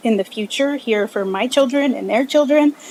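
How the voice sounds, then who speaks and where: Someone speaks with a Spanish accent over noticeable background noise. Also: woman. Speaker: commission applicant. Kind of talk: interview at public meeting. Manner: halting.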